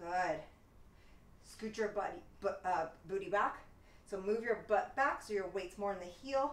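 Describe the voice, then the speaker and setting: Heard with light background noise and audible room echo, a woman speaks with lively intonation. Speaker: fitness instructor. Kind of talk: live-cued workout instruction with rapid countdowns. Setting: home studio, solo video workout. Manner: brisk, rhythmic counting cues; upbeat, encouraging coach. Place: home room. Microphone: camera far.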